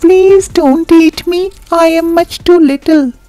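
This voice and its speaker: A put-on character voice with an extremely high pitch, delivered at a fairly slow pace. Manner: pleading.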